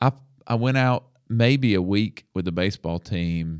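Speech at a fairly slow pace in a Southern US accent, with ordinary pitch variation. The recording is very clean, with a silent background and a dry, close sound with no echo. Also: man. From US South, Alabama. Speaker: podcast host, minister and counselor. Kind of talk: testimony. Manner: halting.

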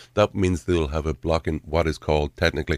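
With a Derry accent, a man speaks in a very deep, low pitch and fairly even intonation, the sound dry and close with no echo. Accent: Northern Irish (Derry). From Derry, Northern Ireland. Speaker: political candidate. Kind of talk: radio interview. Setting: studio.

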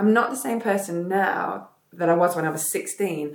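A woman speaks with an English accent. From northern England, south Derbyshire. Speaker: retired professional basketball player. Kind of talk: casual chat. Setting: at host's home, sitting on the floor.

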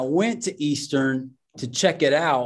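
Speaking at a fairly slow pace, a man with a US Midwestern accent uses a fairly high pitch and ordinary pitch variation. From Indiana, US Midwest. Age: 40s. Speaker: racial justice worker and minister. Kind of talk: casual interview chat. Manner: halting, many repeated words.

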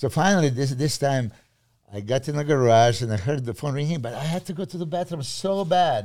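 A man with a Serbian accent, fairly high pitch, lively intonation and a fairly quick pace, in a very clean recording with a silent background. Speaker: bodybuilding coach. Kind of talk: casual chat.

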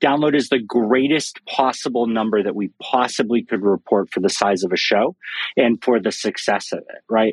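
A man's normal speaking voice at a medium pitch, with lively intonation, a fairly quick pace, and a dry, close sound with no echo. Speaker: podcast analytics expert. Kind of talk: panel discussion. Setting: Clubhouse audio room.

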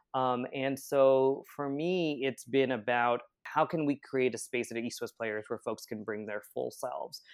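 With an American accent, this speaker talks at a fairly slow pace in a plain, everyday voice, with fairly even intonation and hardly any pauses. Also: man, medium pitch for a man. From Pennsylvania, US. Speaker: theater director and playwright. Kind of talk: interview conversation.

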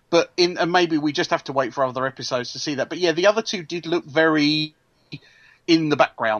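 A man with an English accent talks at a very fast pace in a fairly high pitch. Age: 40s. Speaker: podcast co-host. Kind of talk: casual chat.

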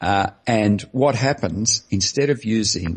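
In an Australian accent, a man talks at a very slow pace with ordinary pitch variation and a somewhat breathy sound. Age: 60s. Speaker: anesthesiologist and low-carb advocate. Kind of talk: interview.

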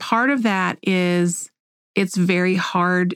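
Captured in a very clean recording with a silent background and a dry, close sound with no echo, a woman with an American accent uses a plain, everyday voice at a medium pitch with fairly even intonation. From Oklahoma. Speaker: podcast host. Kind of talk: casual chat.

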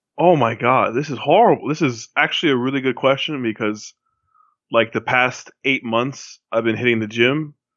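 Speaking at a moderate pace, a man with a medium pitch uses fairly even intonation in an ordinary speaking voice. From Miami, Florida (Cuban-American family). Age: 20s. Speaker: podcast guest, fantasy football player. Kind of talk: casual chat.

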